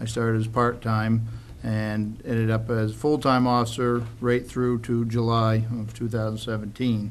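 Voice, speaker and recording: Audible room echo surrounds a man who speaks at a fairly slow pace with monotone, flat intonation. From Maine. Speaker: town council candidate, sheriff's officer. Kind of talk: candidate forum speech. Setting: public forum in high school, with audience. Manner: hesitant, some fillers.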